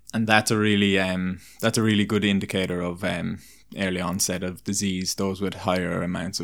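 A man with an Irish accent speaks at a moderate pace in a very deep, low voice with monotone, flat intonation, on a very clean recording with a silent background. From Ireland, small town. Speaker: performance nutritionist and personal trainer. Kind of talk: casual interview chat. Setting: in person, over beers.

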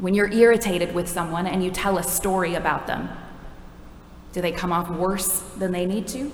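At a moderate pace and medium pitch, a woman speaks with fairly even intonation over noticeable background noise. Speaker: preacher. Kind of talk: sermon. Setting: church.

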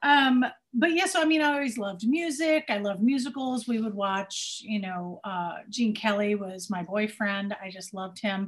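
Speaking with an American accent, a woman uses a fairly high pitch, a somewhat breathy sound, lively intonation, a moderate pace and hardly any pauses. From Cincinnati, Ohio. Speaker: musical theater performer and singer. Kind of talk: casual chat.

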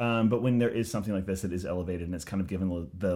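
Here a man speaks in a very deep, low pitch. His tone is dark and mellow. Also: very clean recording, silent background. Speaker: podcast co-host, film commentator. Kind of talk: casual chat. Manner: halting, many fillers.

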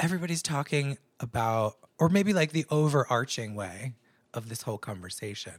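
A man speaks at a fairly quick pace and medium pitch, sounding somewhat breathy. His pitch swings very widely. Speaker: podcast co-host. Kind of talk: casual chat.

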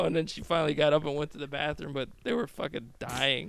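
An unremarkable speaking voice from a man with an American accent, fairly high in pitch, at a fairly quick pace. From US Midwest, Chicago. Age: 30s. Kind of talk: casual chat. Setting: in person at host's house.

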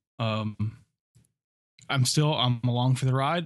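Against a quiet background, a man with an American accent and an ordinary speaking voice talks at a fairly quick pace at medium pitch with ordinary pitch variation. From US East Coast, north. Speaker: podcast co-host. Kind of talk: casual chat.

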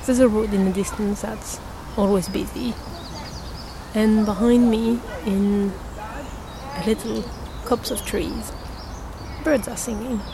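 The speaker moves at a fairly slow pace with long, frequent pauses. Intonation stays fairly even over noticeable background noise. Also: woman, fairly high pitch for a woman. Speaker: podcast host. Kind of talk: scripted audio zine presenting.

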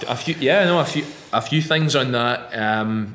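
A man speaks at a medium pitch with a Scottish accent. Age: 30s. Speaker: fitness coach and podcast co-host. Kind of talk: casual chat.

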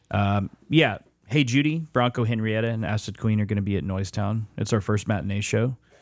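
In a very clean recording with a silent background, a man talks at a fairly quick pace in an unremarkable speaking voice. His pitch is fairly low, with ordinary pitch variation. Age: 30s. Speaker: musician and event organizer. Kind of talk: casual chat.

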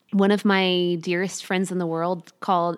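An American accent at a moderate pace, in a very clean recording with a silent background. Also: woman. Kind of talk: interview. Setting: home.

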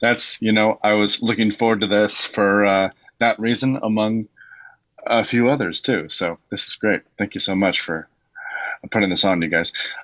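This man has a normal speaking voice, pitched fairly low. He keeps a moderate pace with fairly even intonation. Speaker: call-in participant. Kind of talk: question to the teacher. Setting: video call.

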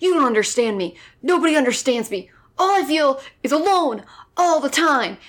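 Putting on a gruff character voice, a woman speaks at a moderate pace in a high pitch with very wide pitch swings, on a very clean recording with a silent background. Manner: brooding, self-pitying.

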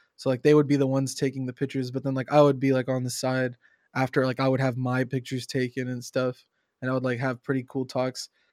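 Very fast and flat in a monotone, a man's medium-pitched voice comes through a very clean recording, silent in the background, with a dry, close sound and no echo. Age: 20s. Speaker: game streamer and community manager. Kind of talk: casual chat. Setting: live stream.

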